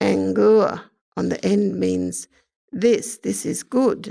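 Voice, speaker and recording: Speaking very slowly, a woman talks with an Australian accent. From Queensland, Australia. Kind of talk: casual explanatory talk about language.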